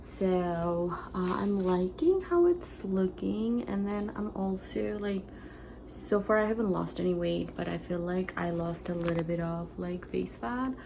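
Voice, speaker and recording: Whispering at a fairly slow pace, with audible room echo. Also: woman. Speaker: lifestyle vlogger. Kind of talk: casual vlog talk to camera. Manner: hesitant, many fillers.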